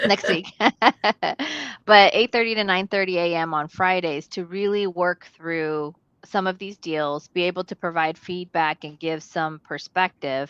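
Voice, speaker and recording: A woman with a fairly low pitch speaks at a fairly slow pace with fairly even intonation. The sound is dry and close with no echo, over a quiet background. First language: not English. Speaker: real estate investor. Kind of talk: casual panel discussion. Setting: live stream video call. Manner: halting.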